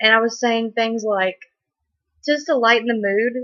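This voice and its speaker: Fairly high in pitch, a woman talks with fairly even intonation. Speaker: wiccan video blogger. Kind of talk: casual vlog monologue. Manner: hesitant, many ums.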